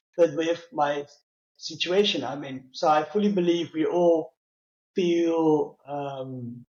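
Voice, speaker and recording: A man with a Dutch accent speaks with ordinary pitch variation. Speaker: customer experience leader with low vision. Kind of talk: interview. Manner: halting, many fillers.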